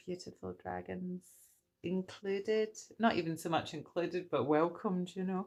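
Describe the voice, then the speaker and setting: Against a quiet background, a woman speaks fairly slowly in a Scottish accent. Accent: Scottish accent coming through. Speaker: tarot reader. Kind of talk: livestream tarot reading. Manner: animated.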